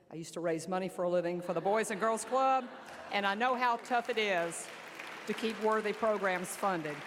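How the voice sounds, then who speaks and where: A woman speaks in an Alabama accent at a medium pitch. She moves at a fairly quick pace over crowd noise in the background. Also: ordinary pitch variation. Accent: Southern US (Alabama). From US South, southern Alabama. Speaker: army general. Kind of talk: keynote speech. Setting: luncheon banquet with audience. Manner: loud.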